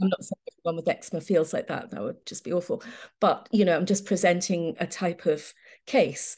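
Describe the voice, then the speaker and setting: A somewhat breathy woman's voice, fairly low in pitch, at a fairly quick pace with ordinary pitch variation. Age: 60s. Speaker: homeopath. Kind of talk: interview.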